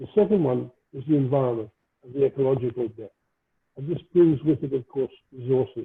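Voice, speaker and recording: A man's medium-pitched voice at a moderate pace. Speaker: speaker at colloquium. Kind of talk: lecture. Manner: quiet. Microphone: too quiet.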